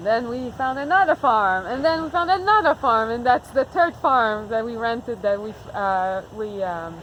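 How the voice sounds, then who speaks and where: A voice with a Quebec accent comes through over noticeable background noise. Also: woman. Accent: Québécois French-accented English. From Quebec, Montreal. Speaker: farmer. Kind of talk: casual chat.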